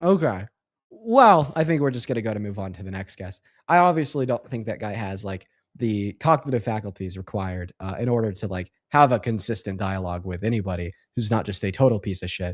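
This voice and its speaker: At a fairly quick pace, a man with a fairly low voice speaks with lively intonation and big swings in loudness. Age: young. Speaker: livestream host debating callers. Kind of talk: live stream debate with callers. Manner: filler-heavy, halting.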